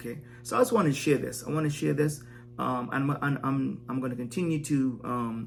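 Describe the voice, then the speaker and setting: Fairly quick speech from a man, medium in pitch with ordinary pitch variation, music playing underneath. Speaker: wellness vlogger. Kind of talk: impromptu vlog monologue. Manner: fast; halting, many fillers and repeats.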